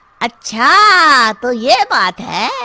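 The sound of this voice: A woman's cartoonish character voice, high-pitched with a bright, sharp tone, big pitch swings and a very slow pace.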